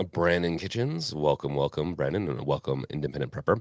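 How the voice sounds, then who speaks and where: A man with a very deep, low pitch, vocal fry and lively intonation at a fairly quick pace, with a dry, close sound, no echo, and a very clean recording with a silent background. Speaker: podcast host and live streamer. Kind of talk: live stream chat. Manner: casual, with fillers and self-corrections.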